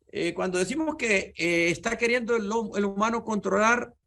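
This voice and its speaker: This man has a high-pitched voice and lively intonation. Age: 70s. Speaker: physics professor. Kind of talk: lecture.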